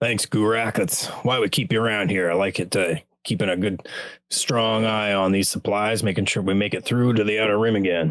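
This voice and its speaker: In a put-on character voice, a man sounds raspy at a fairly low pitch, talking at a fairly quick pace with very even loudness over a very clean, silent background. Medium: actual play.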